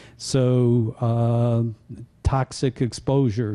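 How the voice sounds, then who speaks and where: In a dark, mellow tone, a man talks with flat, monotone intonation. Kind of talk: lecture. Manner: halting, many fillers.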